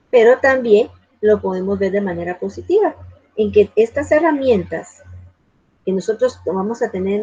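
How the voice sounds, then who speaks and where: A woman with a plain, everyday voice talks at a fairly slow pace, her medium pitch rising and falling in an ordinary way. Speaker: university lecturer in library science. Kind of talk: online lecture.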